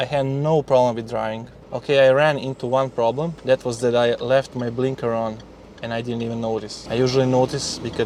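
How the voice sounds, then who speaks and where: Noticeable background noise sits under a man speaking at medium pitch. His delivery is monotone and flat, at a fairly quick pace. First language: Serbian/Croatian. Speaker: YouTuber. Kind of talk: vlog. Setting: in a car. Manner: halting.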